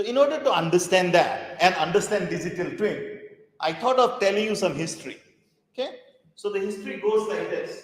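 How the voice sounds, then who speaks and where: Someone speaks at a fairly quick pace with lively intonation, and audible room echo surrounds the voice. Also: man, high pitch for a man. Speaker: professor. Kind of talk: lecture. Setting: conference hall with audience.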